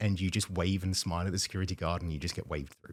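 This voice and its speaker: Very deep and low in pitch, a man with a British accent is heard on a very clean recording with a silent background. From United Kingdom. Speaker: vice president of operations at a dryer manufacturer. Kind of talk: podcast interview answer.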